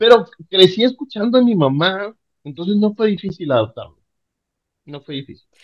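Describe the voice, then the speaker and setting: Animated male speech at a fairly quick pace, with very wide pitch swings. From Panama, then northern Mexico. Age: 40s. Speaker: podcast guest. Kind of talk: casual chat.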